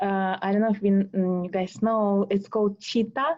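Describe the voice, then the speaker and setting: With a Russian accent, a woman speaks at a moderate pace in a medium pitch, her tone dark and mellow against a quiet background. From Russia, Moscow. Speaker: tango dancer. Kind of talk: interview. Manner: halting.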